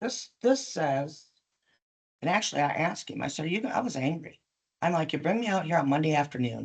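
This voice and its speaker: A woman talks at a fairly quick pace, her pitch swinging very widely, with vocal fry in her voice. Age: 60s. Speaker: business owner at licensing hearing. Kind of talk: testimony. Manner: animated.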